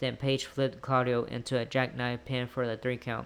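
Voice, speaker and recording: A man is talking. He speaks at a medium pitch. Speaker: wrestling show reviewer. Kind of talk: show recap review. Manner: lazy, unenthusiastic delivery; halting, many fillers.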